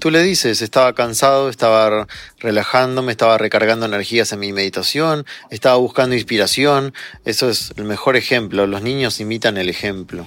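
This man has a normal speaking voice, medium in pitch, with ordinary pitch variation and a fairly quick pace. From Argentina. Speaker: psychologist and meditation teacher. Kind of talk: interview.

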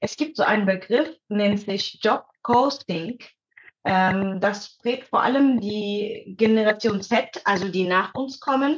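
Somewhat breathy and fairly high-pitched, a woman speaks at a very slow pace with ordinary pitch variation. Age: 30s. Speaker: psychologist and mother of two. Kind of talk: casual chat.

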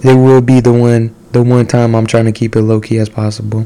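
The man speaks at a moderate pace and a medium pitch. Noticeable background noise runs behind him. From Mexican-American (Chicano) community, US. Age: 20s. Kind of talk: casual monologue with Bible storytelling. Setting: solo home recording. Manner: casual, with many fillers.

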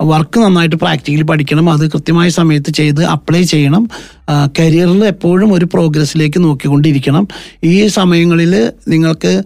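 This man has a normal speaking voice, fairly high in pitch, with fairly even intonation and very even loudness. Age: 50s. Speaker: accounting firm managing director. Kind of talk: radio interview.

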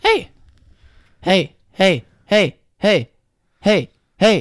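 The speaker shouts in a put-on character voice at a middle pitch. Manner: annoying, repetitive barking-like shouts.

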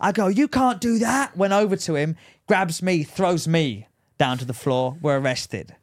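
A man with an English accent talks at a high pitch and moderate pace, with very wide pitch swings, on a very clean recording with a silent background. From England. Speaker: podcast co-host. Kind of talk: casual chat.

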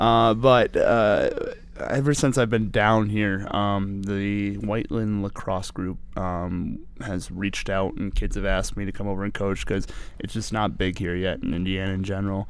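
Audible room echo surrounds a man speaking at a fairly low pitch and moderate pace with fairly even intonation. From New Hampshire. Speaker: high school football coach. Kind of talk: casual chat.

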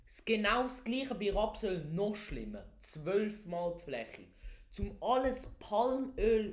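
A loud man at a very slow pace, high in pitch, with ordinary pitch variation. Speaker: podcast co-host. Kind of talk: casual chat. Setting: basement.

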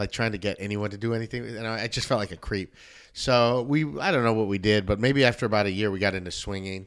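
A man talks very fast in a Southern Californian accent, with a fairly low pitch and fairly even intonation. The recording is very clean, with a silent background. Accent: Southern California American. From Los Angeles area, West Covina. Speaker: comedian and former youth pastor. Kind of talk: casual interview. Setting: home studio.

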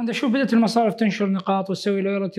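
A man talks at a very fast pace. His pitch is high for a man, with fairly even intonation. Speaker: bank employee, guest interviewer. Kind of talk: interview.

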